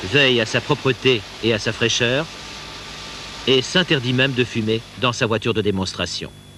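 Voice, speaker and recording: At a moderate pace and medium pitch, a man speaks with very even loudness, ordinary pitch variation and long, frequent pauses over noticeable background noise. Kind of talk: corporate sales training film narration. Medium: dub.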